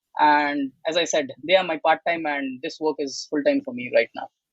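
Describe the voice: Moderately paced, a man speaks at a fairly high pitch with ordinary pitch variation. The sound is dry and close, with no echo.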